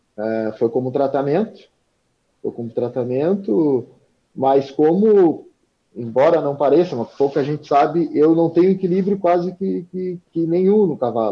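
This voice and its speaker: With an unremarkable speaking voice, a man talks in a fairly high pitch. His intonation is lively. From southern Rio Grande do Sul, Brazil (Arroio Grande). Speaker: wheelchair-using horse rider. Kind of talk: interview.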